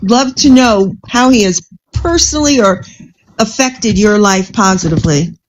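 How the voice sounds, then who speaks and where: A woman speaks at a moderate pace in a medium pitch, somewhat breathy. Her pitch varies in an ordinary way. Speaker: political panel participant. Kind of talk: casual panel banter and political debate. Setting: live-streamed online panel.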